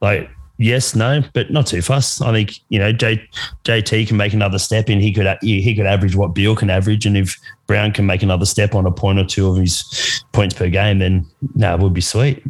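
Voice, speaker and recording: Talking at a fairly quick pace with an Australian accent, a man keeps a fairly low pitch, fairly even intonation and very even loudness. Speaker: guest basketball fan.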